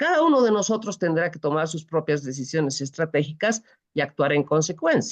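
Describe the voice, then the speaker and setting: A woman talks at a very fast pace. Her pitch rises and falls in very wide swings. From Bolivia. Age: 60s. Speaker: presidential pre-candidate. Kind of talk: interview.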